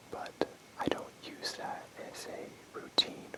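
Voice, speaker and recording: A man whispering over noticeable background noise. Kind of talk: ASMR role play close-up sleep talk. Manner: whispered, soft-spoken, casual.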